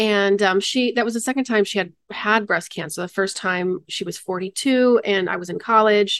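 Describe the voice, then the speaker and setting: A woman's medium-pitched voice with an American accent, a moderate pace, ordinary pitch variation and hardly any pauses, against a quiet background, an ordinary speaking voice. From Michigan, US Midwest. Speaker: charity founder and freelance producer. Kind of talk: interview conversation.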